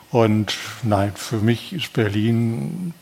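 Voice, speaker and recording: A man talks in a medium pitch. Noticeable background noise can be heard throughout. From Ruhr area, Essen. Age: 70s. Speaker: retired TV journalist. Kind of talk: interview.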